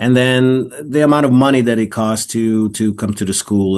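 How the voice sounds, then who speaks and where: A man speaks with an Israeli accent and ordinary pitch variation. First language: Hebrew. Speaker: actor. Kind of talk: interview. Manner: halting, repeats words.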